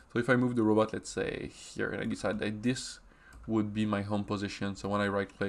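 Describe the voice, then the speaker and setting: Here a man talks at a moderate pace. His pitch is fairly low and his intonation fairly even. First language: French. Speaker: software trainer. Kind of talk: tutorial. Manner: halting, with many fillers.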